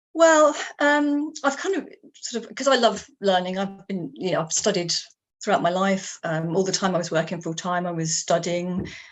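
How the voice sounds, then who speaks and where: A woman with a southern English accent, very wide pitch swings and big swings in loudness. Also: medium pitch for a woman, moderate pace. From England. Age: 60s. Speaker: writer. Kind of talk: interview. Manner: halting, many fillers.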